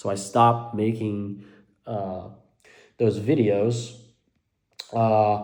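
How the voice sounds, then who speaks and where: The man's voice has a dark, mellow tone and a fairly low pitch. His intonation is monotone and flat, with audible room echo. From Belgium (Dutch-speaking). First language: Dutch. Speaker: mental health vlogger. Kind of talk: personal vlog monologue. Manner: halting, many fillers.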